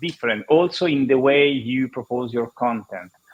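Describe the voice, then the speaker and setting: The speaker has an Italian accent. The pace is moderate, with ordinary pitch variation. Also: man. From Italy. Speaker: marketing consultant and podcaster. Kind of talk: panel discussion. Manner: halting.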